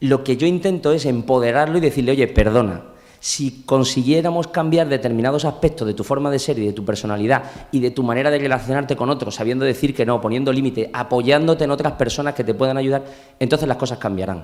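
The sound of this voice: A man's fast-paced speech with few pauses, medium pitch, ordinary pitch variation and a slightly mellow tone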